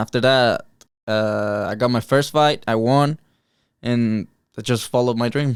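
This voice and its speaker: Speaking with a Mexican accent, a man keeps a moderate pace, a medium pitch and fairly even intonation on a very clean recording with a silent background. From Mexico, Cuernavaca, Morelos. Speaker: martial arts fighter. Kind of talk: interview. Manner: halting.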